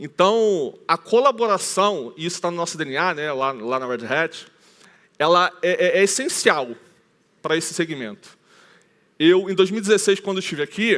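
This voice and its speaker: A high-pitched man's voice with lively intonation, a moderate pace and long, frequent pauses. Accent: Rio de Janeiro. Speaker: conference speaker, IT team leader. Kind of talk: conference talk. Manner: casual, with many filler hesitations.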